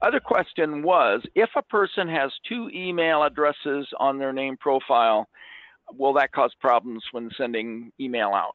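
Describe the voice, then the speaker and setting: A man with a plain, everyday voice speaks fairly slowly at a fairly high pitch with lively intonation. The sound is dry with no echo against a quiet background. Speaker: software company staff member. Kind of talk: casual interjections during webinar. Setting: video call. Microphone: video call.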